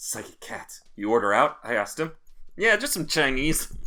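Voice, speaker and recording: The speaker uses a put-on, gruff character voice with very wide pitch swings. The pace is moderate. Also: man, fairly high pitch for a man. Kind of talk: hard-boiled noir voice. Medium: game stream. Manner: gruff, tough-talking.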